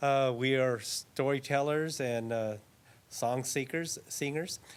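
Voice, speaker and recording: With an American accent, a man speaks at a medium pitch with fairly even intonation. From US West Coast, San Fernando Valley. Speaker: Native storyteller and traditional dancer. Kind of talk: spoken introduction to audience. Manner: halting, many fillers.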